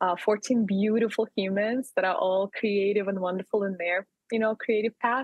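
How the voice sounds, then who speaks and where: Loudness stays very even while the voice moves at a moderate pace with fairly even intonation. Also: woman, medium pitch for a woman. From Russia, Yekaterinburg. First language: Russian. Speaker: community organizer and entrepreneur. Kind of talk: interview conversation. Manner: hesitant, many fillers.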